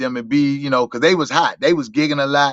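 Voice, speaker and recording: A man with an American accent speaks at a fairly high pitch with ordinary pitch variation. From Washington DC, Southeast. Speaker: go-go musician and motivational speaker. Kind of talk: interview.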